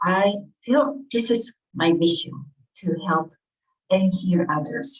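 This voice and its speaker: In a Japanese accent, a woman speaks at a very slow pace and medium pitch. Her intonation is lively and her voice somewhat breathy. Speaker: author and healer. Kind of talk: interview. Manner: halting.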